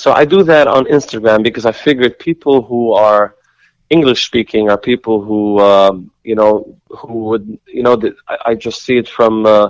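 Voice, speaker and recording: Captured in a dry, close sound with no echo, a man talks at a moderate pace and medium pitch with ordinary pitch variation. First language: Yiddish. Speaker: singer and composer. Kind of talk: interview. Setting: phone call. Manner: halting, many repetitions.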